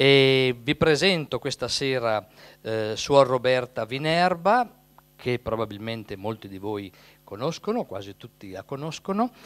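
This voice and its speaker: At a fairly slow pace, a man speaks with lively intonation and big swings in loudness. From Italy, Emilia (Carpi). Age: 60s. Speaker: priest. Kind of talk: event introduction and prayer. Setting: parish hall with live audience. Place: hall. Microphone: handheld.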